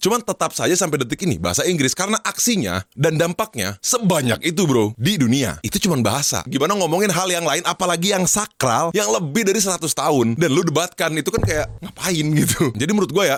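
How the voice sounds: A man talking at a fast pace, fairly high in pitch, with big pitch swings. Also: few pauses.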